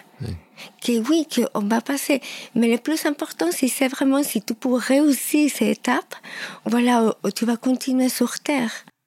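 A woman's high voice at a fairly slow pace, with ordinary pitch variation, very even loudness, long, frequent pauses and noticeable background noise. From Peru (Lima). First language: Spanish (speaking French). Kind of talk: testimony. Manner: halting.

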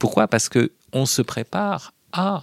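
A man speaks with vocal fry, close and dry with no echo. The recording is very clean over a silent background. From Paris region, France (Hauts-de-Seine). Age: 40s. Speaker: philosophy professor and essayist. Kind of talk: interview. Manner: hesitant with fillers.

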